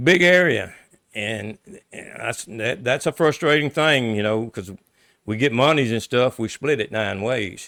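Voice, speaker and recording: A man with a medium pitch and an American accent, a bright, sharp tone, lively intonation and a fairly slow pace. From US South, central Louisiana. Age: 60s. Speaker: local politician. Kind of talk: interview.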